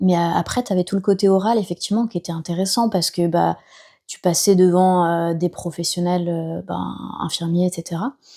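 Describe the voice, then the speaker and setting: Fairly even intonation in a dark, mellow tone. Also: woman, fairly low pitch for a woman, moderate pace. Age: 30s. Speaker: nurse turned entrepreneur. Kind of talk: podcast interview. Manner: casual, many hesitations.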